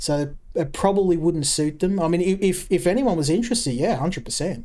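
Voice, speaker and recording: With an Australian accent, this voice moves along at a fairly quick pace. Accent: thick Australian. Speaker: game streamer. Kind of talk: live gameplay commentary. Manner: halting, many fillers and repeats.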